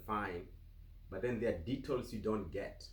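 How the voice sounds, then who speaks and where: A man with a Kenyan accent talks at medium pitch with ordinary pitch variation and a somewhat breathy quality, and room echo can be heard. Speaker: vlogger. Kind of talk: casual interview. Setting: home office.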